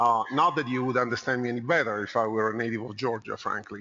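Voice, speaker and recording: A man with a slight Italian accent, at a very fast pace. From Italy (Rome). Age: 50s. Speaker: consultant. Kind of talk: conference talk. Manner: conversational, with fillers.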